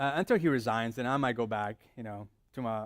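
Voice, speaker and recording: With an American accent, a man speaks at a moderate pace with ordinary pitch variation on a very clean recording with a silent background. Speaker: pastor. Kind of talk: sermon. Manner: conversational.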